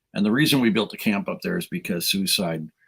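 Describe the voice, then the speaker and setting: This man's fairly low voice makes very wide pitch swings. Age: 60s. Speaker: youth minister. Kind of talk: casual chat. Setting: live stream interview.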